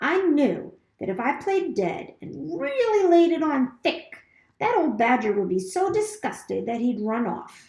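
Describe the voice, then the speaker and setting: In a put-on character voice, a woman speaks high in pitch at a fairly slow pace, with very wide pitch swings. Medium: read story. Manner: theatrical, chatty.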